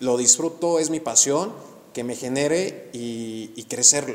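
A man uses a plain, everyday voice, his pitch fairly high with ordinary variation. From Mexico, Actopan, Hidalgo. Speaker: real estate podcast host, architect. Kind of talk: casual interview chat.

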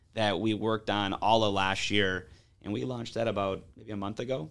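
A man with an American accent and a normal speaking voice talks at a moderate pace in a fairly low pitch with fairly even intonation. The recording is very clean, with a silent background. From Detroit east side, Michigan. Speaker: hockey business owner. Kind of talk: interview.

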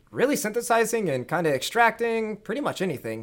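A man speaks at a fairly quick pace with very wide pitch swings, on a very clean recording with a silent background. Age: 30s. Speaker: CEO of a cannabinoid isolate company. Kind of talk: casual interview.

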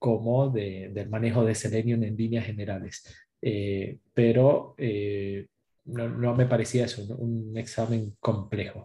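A man talks at a fairly slow pace with medium pitch and a monotone, flat delivery. His tone is dark and mellow, and somewhat breathy. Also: quiet background. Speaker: certified test automation engineer. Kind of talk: casual panel chat.

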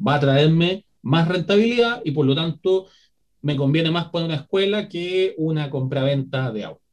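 With a plain, everyday voice, a man talks at a fairly high pitch and moderate pace, his intonation lively. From Chile. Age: 30s. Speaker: historian and educator. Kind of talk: educational interview.

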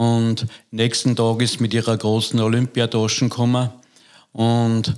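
A man talks at a medium pitch at a fairly slow pace. His intonation stays monotone and flat. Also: very clean recording, silent background. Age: 60s. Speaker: judo coach. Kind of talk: interview.

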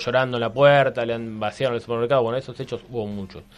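A man talks at a medium pitch and fairly even intonation while music plays behind him. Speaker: historian and columnist. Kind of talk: radio column, casual historical explanation. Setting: radio studio. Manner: hesitant, many fillers.

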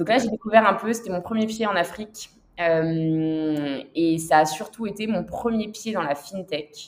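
The woman has a normal speaking voice with a medium pitch. Her pace is fairly slow, and her pitch varies in an ordinary way. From southern France, Toulon. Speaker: finance executive. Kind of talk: interview.

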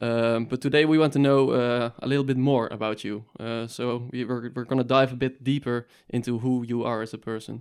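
A man speaks with a Dutch accent at a fairly quick pace. His intonation is monotone and flat, with hardly any pauses. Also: medium pitch for a man. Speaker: student podcast co-host. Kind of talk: casual interview.

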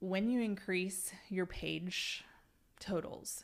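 Using a normal speaking voice, a woman with an American accent talks at a fairly low pitch with fairly even intonation. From Oklahoma, small town near Stillwater. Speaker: social media advertising consultant. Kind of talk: casual interview.

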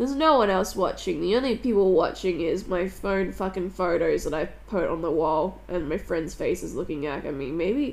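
This woman speaks at a moderate pace and medium pitch, with hardly any pauses. Her voice has vocal fry and lively intonation. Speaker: podcast host. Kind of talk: personal monologue. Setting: at home on couch.

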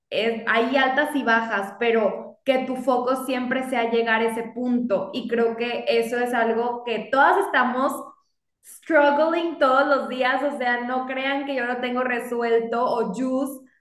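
A woman speaks at a very slow pace with a high pitch and fairly even intonation, and the room echo is audible. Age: 30s. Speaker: lawyer and business owner. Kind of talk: casual interview chat.

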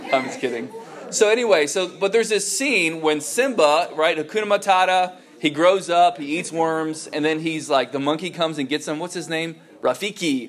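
A man's high-pitched voice comes through with noticeable background noise behind it. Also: ordinary pitch variation, moderate pace. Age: 30s. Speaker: youth pastor or Bible teacher. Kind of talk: sermon-style teaching talk. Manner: casual, hesitant with many fillers.

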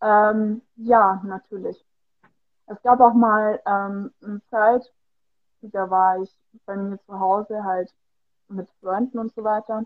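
A woman speaks very slowly, with long, frequent pauses and a fairly high pitch. Her intonation is flat and monotone, while her loudness swings widely. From Bavaria, Germany. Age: 20s. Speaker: fitness studio employee and amateur model. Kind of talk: casual interview. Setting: Instagram livestream.

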